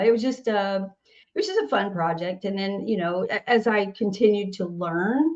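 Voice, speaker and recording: With a Southern accent, the speaker goes at a moderate pace with ordinary pitch variation. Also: woman. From US South, Nashville, Tennessee. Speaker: singer-songwriter. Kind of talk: casual interview chat.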